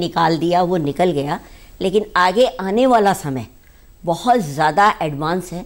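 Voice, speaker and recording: A woman talks at a very slow pace. Her pitch is fairly low. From Rajasthan, Bikaner; Rajasthan, India. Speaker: beauty expert; guest. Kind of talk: TV interview. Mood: calm, reflective. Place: studio. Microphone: lapel.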